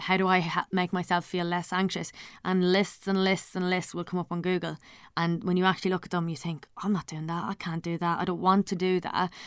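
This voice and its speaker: A woman speaks at a medium pitch in a flat monotone, on a very clean recording with a silent background. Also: fairly quick pace. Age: 30s. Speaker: podcast host. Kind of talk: solo monologue. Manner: hesitant, many fillers.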